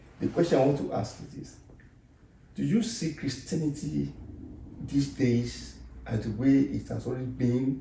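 A man talks at a moderate pace. Room echo is audible around him. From Nigeria. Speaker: pastor and interview host; pastor, interview host. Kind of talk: interview. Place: home room. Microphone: camera far.

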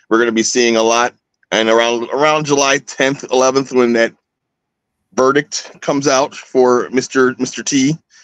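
A man at a fairly slow pace, with a quiet background and a dry sound with no echo. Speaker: astrologer; guest. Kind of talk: casual chat. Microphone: video call.

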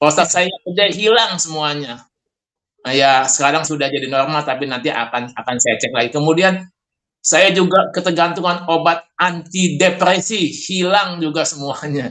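A man with a high pitch and a bright, sharp tone talks at a moderate pace with ordinary pitch variation. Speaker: health expert; guest. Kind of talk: Q&A; personal testimony interview. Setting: video call. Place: home room. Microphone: video call.

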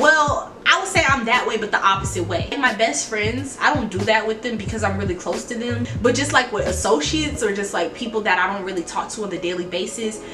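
A woman talks at a fairly quick pace with hardly any pauses. Noticeable background noise runs underneath. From New Orleans, Louisiana. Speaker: YouTuber. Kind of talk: casual talk to camera. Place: home room. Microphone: phone near.

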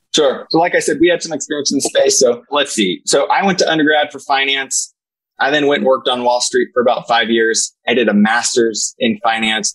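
A man speaks at a fairly quick pace with very even loudness. The background is quiet. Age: 40s. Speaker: senior living executive; podcast guest. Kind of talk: interview. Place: office. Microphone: earbuds.

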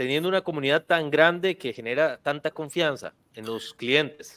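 A man's intonation is lively, with only quiet in the background. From Costa Rica. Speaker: real estate video marketing podcast host. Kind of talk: casual interview. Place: studio. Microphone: studio mic.

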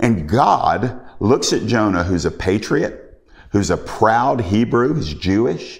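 Against a quiet background, a man speaks fairly slowly at a fairly low pitch with lively intonation. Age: 50s. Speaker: preacher. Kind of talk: sermon. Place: home room.

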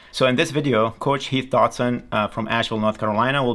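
Fairly even intonation in a man's voice. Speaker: channel host. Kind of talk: video intro and guest introduction. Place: studio.

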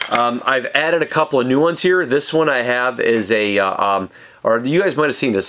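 A man talks at a fairly quick pace, his pitch varying by an ordinary amount, while noticeable background noise is present. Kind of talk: casual product show-and-tell. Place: workshop.

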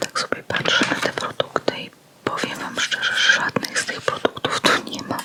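Noticeable background noise accompanies a woman's whisper. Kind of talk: ASMR store flyer discussion, casual talk. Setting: close microphone, studio. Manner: soft whispered, slow, relaxing.

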